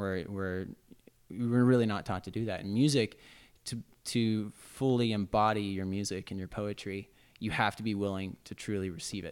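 A man's fairly low voice at a moderate pace, fairly even in intonation, an ordinary speaking voice. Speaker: musician. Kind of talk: casual chat. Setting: coffee shop.

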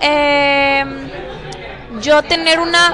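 A raised, projected voice with fairly even intonation carries over crowd noise in the background. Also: woman. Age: 20s. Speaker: nutritionist. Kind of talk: casual interview. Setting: café.

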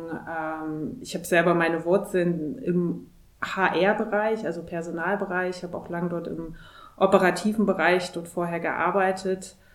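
Speech comes at a fairly slow pace with fairly even intonation and big swings in loudness, and the room echo is audible. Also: woman, fairly low pitch for a woman. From Thuringia, Germany. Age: 30s. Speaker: corporate executive. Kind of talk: interview.

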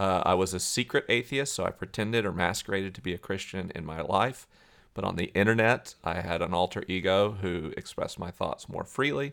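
A man talks with a very deep, low pitch and ordinary pitch variation. The recording is very clean, with a silent background. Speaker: author and scientist.

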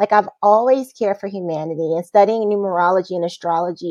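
Dry and close with no echo, a woman's dark, mellow voice holds a medium pitch and fairly even intonation. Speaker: massage therapist and bodyworker. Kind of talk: casual interview chat. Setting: video call.

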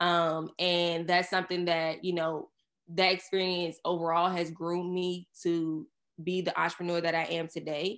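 Against a quiet background, a woman with an American accent speaks in a fairly low pitch at a moderate pace with monotone, flat intonation. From Surry County, Virginia. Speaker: agency owner. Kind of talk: casual interview chat.

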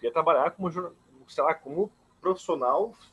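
This is a man speaking. His pace is fairly slow. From Santa Catarina, Brazil (Blumenau). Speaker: journalist and doctoral student. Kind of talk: interview. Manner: halting, many repetitions.

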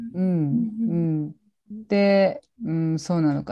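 A woman with a dark, mellow tone and fairly low pitch talks at a moderate pace over a quiet background. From Japan, Gifu. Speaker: support worker for abuse survivors. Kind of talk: interview testimony. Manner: hesitant, many fillers.

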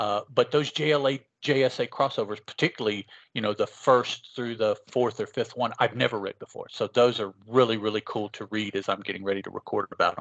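In an ordinary speaking voice, a man talks at a fairly quick pace with medium pitch and fairly even intonation, the sound dry and close with no echo and the background quiet. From West Virginia, moved from Chicago as a small child. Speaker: podcaster. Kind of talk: casual chat.

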